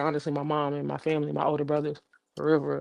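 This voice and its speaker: Very deep, low-pitched woman's voice at a very fast pace. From Jamaica, then Florida. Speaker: singer and rapper. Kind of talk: casual interview chat.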